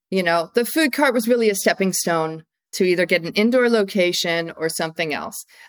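A woman with an American accent, medium pitch and a normal speaking voice, on a very clean recording with a silent background. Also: lively intonation. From US Northeast (upstate New York, Massachusetts). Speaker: food entrepreneur, company founder. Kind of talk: interview.

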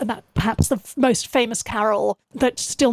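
Someone speaks with a southern English accent at a moderate pace. The sound is dry and close, with no echo. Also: woman. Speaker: musician and historian. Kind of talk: interview.

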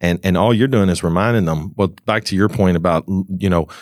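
A man with an American accent talks at a very fast pace in a very deep, low voice. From Kentucky, US South. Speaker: online advertising agency owner, podcast host. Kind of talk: casual chat. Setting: trade show.

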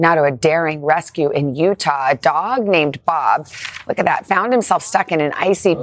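Fairly low for a woman, her pitch shows ordinary variation, in a normal speaking voice. She talks at a fairly quick pace. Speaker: morning TV news co-anchor. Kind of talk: news reading.

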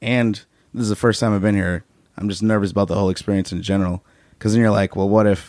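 A plain, everyday voice from a man with an American accent, fairly low in pitch, with fairly even intonation and a dry, close sound with no echo. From Chicago. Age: 30s. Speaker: stand-up comedian. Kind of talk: casual chat.

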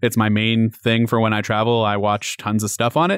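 A man talks in a plain, everyday voice. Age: 30s. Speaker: tech journalist. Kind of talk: casual chat.

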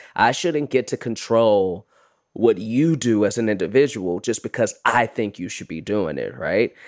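A man with an American accent talks in a plain, everyday voice at a medium pitch and moderate pace. His intonation is lively, and the recording is very clean with a silent background. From Chicago, US Midwest. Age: 30s. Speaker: actor and comedian. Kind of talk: casual chat.

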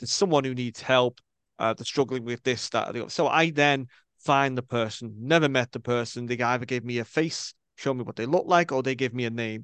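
Speaking at a fairly quick pace in a Scouse accent, a man has a medium pitch and ordinary pitch variation, with a dry, close sound and no echo over a quiet background. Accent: Scouse (Liverpool) English. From Liverpool, England. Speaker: spiritual medium. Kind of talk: interview. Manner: animated.

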